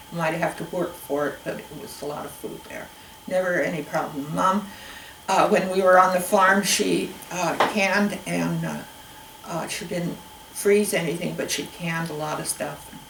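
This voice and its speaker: A woman with an American accent speaks at a moderate pace with fairly even intonation and big swings in loudness, amid noticeable background noise and audible room echo. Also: fairly low pitch for a woman. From Spokane Valley, Washington. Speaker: oral history interviewee. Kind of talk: oral history interview. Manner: halting.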